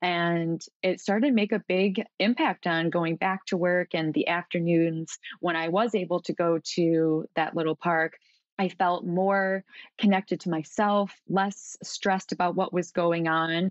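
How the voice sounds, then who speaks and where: A woman talks at a fairly slow pace with fairly even intonation and very even loudness. Hers is a plain, everyday voice. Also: fairly low pitch for a woman. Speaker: coach with psychology background. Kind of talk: casual interview chat.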